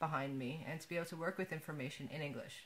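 Speaking with an American accent, a woman uses a fairly low pitch and ordinary pitch variation. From USA. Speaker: digital archivist, technical writer. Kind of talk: interview answer. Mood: calm, reflective. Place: home room. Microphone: webcam.

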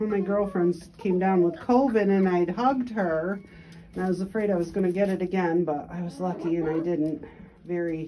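Light background noise sits behind a woman's fairly low pitch. She speaks at a moderate pace with ordinary pitch variation. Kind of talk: casual vlog chat. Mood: cheerful, relaxed. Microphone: phone near.

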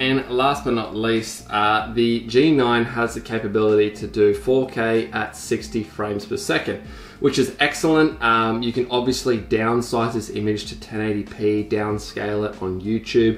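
Light background noise and audible room echo surround the voice. A man talks at a moderate pace with hardly any pauses. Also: ordinary pitch variation. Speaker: vlogger. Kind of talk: casual vlog chat, gear review. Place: home room.

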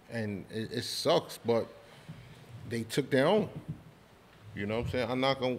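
With long, frequent pauses, a man talks at a moderate pace and a medium pitch with ordinary pitch variation. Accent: New York. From New York City (Spanish Harlem, Brooklyn). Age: 40s. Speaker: podcast host. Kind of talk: casual chat.

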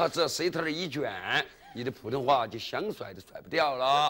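A man at a fairly high pitch with lively intonation and a moderate pace, over light background noise. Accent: Sichuan. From Chengdu, Sichuan; Sichuan. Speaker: comic dialect storyteller. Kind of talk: comic storytelling performance. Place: studio.

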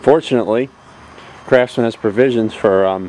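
A man with a plain, everyday voice talks at a fairly low pitch and a fairly quick pace, with fairly even intonation. The sound is dry with no echo, over light background noise. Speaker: owner showing his tractor. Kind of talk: casual show-and-tell narration. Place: street. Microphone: phone near.

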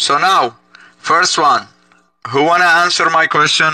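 A man's voice comes through dry, with no echo. The background is quiet. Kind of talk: heated debate. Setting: video call. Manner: loud, insistent, repetitive. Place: home room. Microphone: headset.

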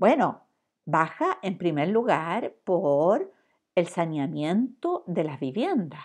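The intonation is lively while the pace is very slow. The background is quiet. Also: woman. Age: 60s. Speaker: professor. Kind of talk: lecture. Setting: recorded online class. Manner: halting.

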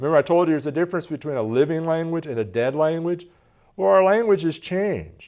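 A man speaks at a fairly quick pace with a fairly high pitch, a slightly mellow tone and lively intonation.

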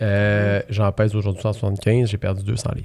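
A man speaks with a fairly low pitch and a dark, mellow tone. The background is quiet. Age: 30s. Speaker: real estate investor; podcast guest. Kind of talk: casual interview. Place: studio. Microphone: studio mic.

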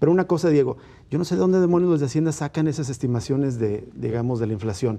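The speaker is a man with lively intonation. He talks very fast. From Mexico. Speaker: political commentator. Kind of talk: panel debate. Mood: critical, earnest. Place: studio. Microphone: lapel.

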